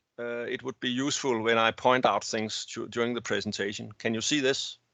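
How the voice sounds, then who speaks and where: A man talks at a fairly quick pace in a Danish accent. His medium-pitched voice has a monotone, flat intonation. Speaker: naval architect. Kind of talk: technical presentation. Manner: halting.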